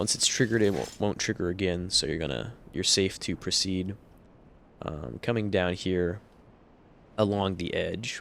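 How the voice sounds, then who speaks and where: With a normal speaking voice, a man talks at a moderate pace in a fairly low pitch. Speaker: gaming youtuber. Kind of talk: gameplay commentary. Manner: casual, filler-heavy.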